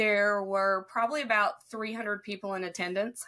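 A woman's bright, sharp voice at medium pitch, in a Southern Appalachian accent, at a moderate pace with fairly even intonation. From southern Ohio. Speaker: respiratory therapist and speaker.

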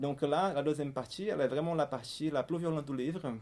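With a Portuguese accent, a man talks at a fairly quick pace in a dark, mellow tone, his fairly high pitch showing ordinary variation. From Brazil, Fortaleza (northeast). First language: Portuguese (speaking French). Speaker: writer and literary researcher. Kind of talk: book talk interview. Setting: event with live audience. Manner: halting.

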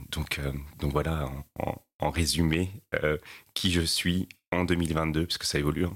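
With a very deep, low pitch and vocal fry, a man speaks in a monotone, flat intonation at a very slow pace, leaving long, frequent pauses. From La Réunion. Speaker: sustainability executive. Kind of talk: interview. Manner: hesitant with many fillers.

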